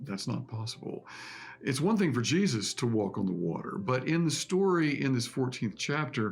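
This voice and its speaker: A man's somewhat breathy voice sits at medium pitch. It moves through very wide pitch swings. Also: moderate pace. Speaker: pastor. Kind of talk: sermon.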